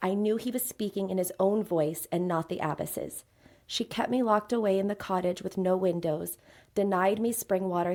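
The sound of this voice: The reading here is done in an unforced voice.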